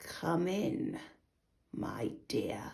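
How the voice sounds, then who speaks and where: A growling, raspy, put-on character voice at a middle pitch. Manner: sly, feigning sweetness.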